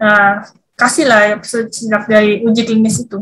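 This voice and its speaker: This is a woman speaking. Her pace is fairly slow. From Jakarta, Indonesia. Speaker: vaccine scientist. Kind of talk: interview. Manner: halting, many fillers and repetitions.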